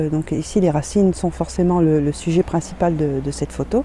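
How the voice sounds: At a moderate pace, a woman speaks in a low, dark, mellow voice with ordinary pitch variation.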